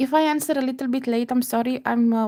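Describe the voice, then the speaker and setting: In a very clean recording with a silent background, a woman speaks with a dark, mellow tone and a dry, close sound with no echo. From Romania. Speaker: beading crafter. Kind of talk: live tutorial. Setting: livestream at home computer. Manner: slow-paced, step by step; halting, many fillers.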